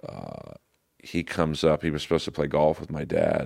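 At a moderate pace, a man talks with a very deep, low pitch and vocal fry. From Los Angeles, US West Coast. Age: 50s. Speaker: comedian. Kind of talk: casual chat.

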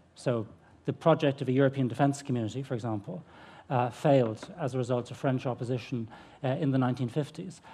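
With a dark, mellow tone and a somewhat breathy sound, a man talks very fast at a medium pitch with fairly even intonation. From Ireland. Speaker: history professor. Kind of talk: panel presentation. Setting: festival stage with audience.

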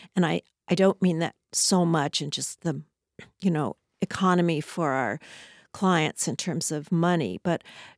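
A woman with an American accent speaks in a normal speaking voice at a fairly low pitch, with ordinary pitch variation and a fairly slow pace. The recording is very clean, dry and close, with no echo and a silent background. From Southern California. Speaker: architect. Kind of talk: interview. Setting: studio.

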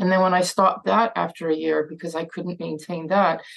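Fairly low-pitched with vocal fry, a woman speaks with fairly even intonation. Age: 60s. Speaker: addiction physician and author. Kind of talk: talk with Q&A. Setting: video call. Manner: halting, many fillers and repetitions.

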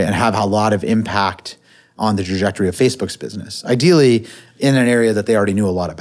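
A man with a Californian accent, fairly low-pitched, at a very fast pace with ordinary pitch variation. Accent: General American (Californian). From US West Coast (Silicon Valley). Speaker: angel investor. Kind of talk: interview. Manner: hesitant fillers.

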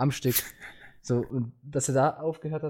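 A man's fairly high-pitched voice with a dark, mellow tone, fairly even intonation and a moderate pace. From Switzerland. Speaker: podcast host. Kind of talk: casual chat. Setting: online voice chat server.

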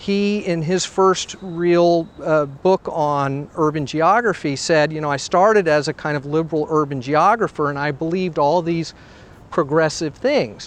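With an American accent, this man talks at a fairly slow pace in a fairly high pitch, with ordinary pitch variation and an ordinary speaking voice. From US South. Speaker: sociology professor. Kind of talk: interview. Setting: outdoors, walking city streets.

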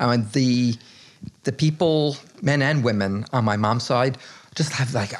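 Fairly slow delivery from a man in a normal speaking voice, medium in pitch with ordinary pitch variation. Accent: American. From New Jersey. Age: 60s. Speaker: artist. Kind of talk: casual chat. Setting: at his home.

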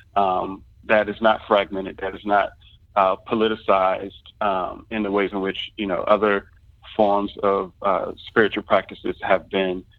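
A man with a fairly low pitch and monotone, flat intonation, at a moderate pace. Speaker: artist and scholar. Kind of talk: interview. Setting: phone call. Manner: halting, many fillers.

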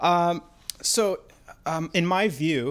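The background is completely silent in this very clean recording. A man does the talking. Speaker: podcast co-host. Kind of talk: casual chat. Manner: hesitant, filler-heavy.

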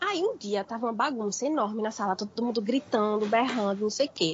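Clear background noise behind a woman's fairly brisk delivery. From Brazil, Recife. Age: 20s. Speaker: podcast guest. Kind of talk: casual chat.

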